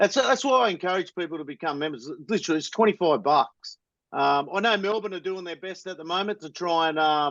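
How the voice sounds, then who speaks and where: The speaker has an Australian accent, lively intonation and a fairly quick pace. Loudness swings widely over a quiet background. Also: man, high pitch for a man. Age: 40s. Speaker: supporters club member and podcaster. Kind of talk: casual chat.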